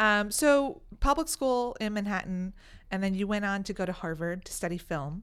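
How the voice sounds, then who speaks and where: An ordinary speaking voice from a woman with an American accent, medium pitch, lively intonation and moderate pace, on a very clean recording with a silent background. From New York City. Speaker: podcast host. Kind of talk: casual interview. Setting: studio.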